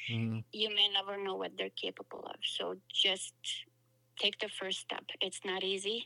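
Recorded with a dry, close sound and no echo, a woman speaks with a non-native accent. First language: not English. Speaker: author. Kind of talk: interview.

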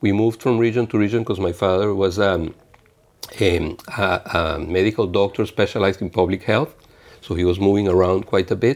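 Speaking with a Spanish accent, a man with a fairly low pitch talks at a fairly quick pace and with fairly even intonation. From Venezuela, small province. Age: 50s. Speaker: international trade official. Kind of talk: interview. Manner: halting, many fillers and repeats.

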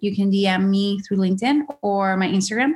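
With a Spanish accent, a woman talks in a somewhat breathy voice at medium pitch, with ordinary pitch variation. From Venezuela (Caracas). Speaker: creative director. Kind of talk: interview conversation. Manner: halting, with repeated words.

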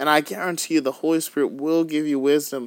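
A man's fairly high voice at a moderate pace, animated and upbeat, on a very clean recording with a silent background. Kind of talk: fervent prayer, urgent intercession addressed to the Holy Spirit, in a sermon. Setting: podcast recording. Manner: animated, upbeat, excited.

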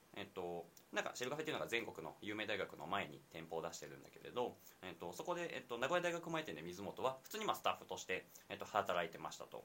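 Very fast speech from a man with very wide pitch swings, against noticeable background noise. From Nagoya, Japan. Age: 20s. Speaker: university student and startup co-founder. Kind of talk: casual chat. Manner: hesitant, many fillers.

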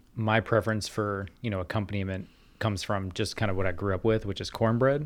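Here is a normal speaking voice at a fairly quick pace with fairly even intonation. The recording is very clean and the background silent. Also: man. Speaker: guest, video game sound designer. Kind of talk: casual podcast discussion.

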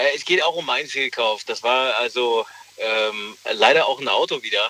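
Noticeable background noise can be heard. Over it, a man talks fairly slowly. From Germany, Rhineland near Cologne/Leverkusen. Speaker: caller. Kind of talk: phone-in call.

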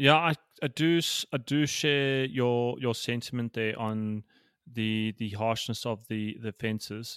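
An unremarkable speaking voice from a man with a medium pitch and ordinary pitch variation, at a fairly slow pace, in a dry, close sound with no echo on a very clean recording with a silent background. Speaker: rowing podcast co-host, racer. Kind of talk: casual banter podcast.

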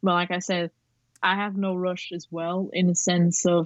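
Against a quiet background, a woman with a non-native accent speaks at a fairly slow pace in a fairly low pitch. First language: not English. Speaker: photographer and aspiring director. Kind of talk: casual interview. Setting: remote call.

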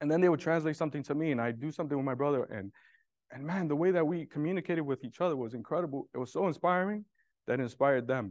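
The pace is very fast, with ordinary pitch variation. The sound is dry and close with no echo, over a quiet background. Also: man. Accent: New York. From Brooklyn, New York. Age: 40s. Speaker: real estate developer. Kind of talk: testimony. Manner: halting.

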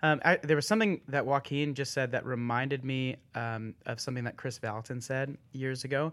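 In a very clean recording with a silent background, a man with a plain, everyday voice talks at a moderate pace with hardly any pauses, a medium pitch and ordinary pitch variation. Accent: American. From Texas (Austin). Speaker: church worship leader. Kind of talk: casual chat.

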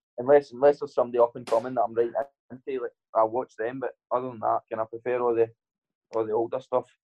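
Speaking very fast in a Scottish accent, a man holds a medium pitch and a monotone, flat intonation. His loudness swings widely. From Scotland. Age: 20s. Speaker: professional boxer. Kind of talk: casual interview chat.

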